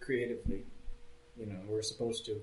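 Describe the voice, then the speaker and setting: A man talks in a medium-pitched voice. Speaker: creative manager at an art studio. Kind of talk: casual chat. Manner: loud, voice carries.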